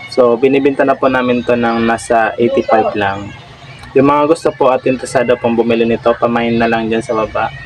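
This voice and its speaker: There is noticeable background noise behind the speaker. The intonation stays monotone and flat. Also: man. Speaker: prank vlogger. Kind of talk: prank vlog with mock online selling.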